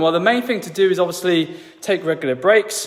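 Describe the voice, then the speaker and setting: The pitch swings very widely. Noticeable background noise is present. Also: man. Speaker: fitness and lifestyle coach. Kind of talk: tutorial. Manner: casual, conversational with fillers.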